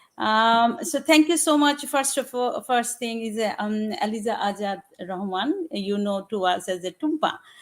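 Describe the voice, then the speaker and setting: A woman with a Bengali accent speaks at a moderate pace with hardly any pauses, her fairly high pitch rising and falling in lively intonation. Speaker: general practitioner. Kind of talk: panel discussion. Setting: online live broadcast. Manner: halting, many fillers.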